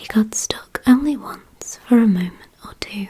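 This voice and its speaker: Whispering at a very slow pace, a woman is heard over noticeable background noise. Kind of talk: ASMR whispered story reading. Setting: dimly lit, soothing bedtime atmosphere. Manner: whispered, soft-spoken.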